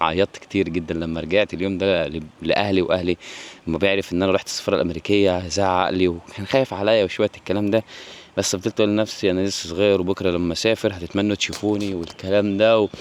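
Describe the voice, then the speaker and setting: A man's very deep, low voice, very fast and flat in monotone, with noticeable background noise. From Egypt. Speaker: vlogger. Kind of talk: personal storytelling vlog. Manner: halting, frequent restarts.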